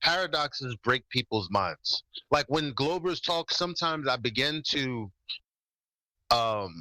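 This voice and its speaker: This man has a fairly high pitch and a bright, sharp tone, with lively intonation at a fairly slow pace and long, frequent pauses. The sound is dry and close with no echo, a very clean recording on a silent background. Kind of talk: heated debate. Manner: halting.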